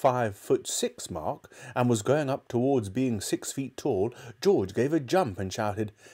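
Lively intonation in a plain read-aloud delivery

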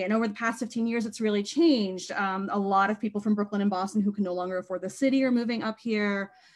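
This woman has a normal speaking voice, fairly high in pitch, with ordinary pitch variation. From Maine, US. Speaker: bookstore co-owner. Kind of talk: interview conversation.

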